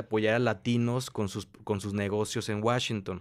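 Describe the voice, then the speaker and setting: In quiet surroundings, a man is talking. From Mexico. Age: 20s. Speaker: entrepreneur, business incubator director; interview guest. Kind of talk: interview. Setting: coworking space. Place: studio. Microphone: studio mic.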